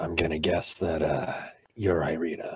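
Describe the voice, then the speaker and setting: A man does a put-on character voice, raspy and very deep. He keeps to a moderate pace. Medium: actual play. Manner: wry, hesitant.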